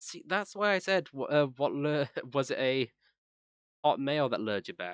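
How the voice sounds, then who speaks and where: In a dry, close sound with no echo, a man with an American accent talks at a moderate pace in a fairly high pitch, with lively intonation and long, frequent pauses. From England. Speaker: gaming streamer. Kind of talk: casual chat.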